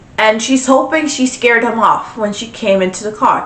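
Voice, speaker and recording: A woman talks at a moderate pace in an animated tone, with noticeable background noise and audible room echo. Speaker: podcast host. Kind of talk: casual storytelling commentary.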